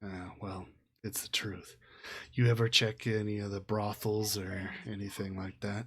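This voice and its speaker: A man puts on a character voice, speaking at a moderate pace with a fairly low pitch. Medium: actual play. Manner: curt, hard-bargaining.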